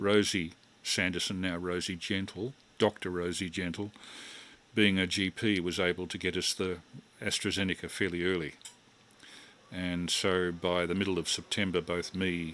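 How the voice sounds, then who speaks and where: A man with a very deep, low voice speaks at a moderate pace in a monotone, flat delivery with long, frequent pauses. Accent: Australian. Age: 60s. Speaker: amateur radio operator. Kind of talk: amateur radio net chat.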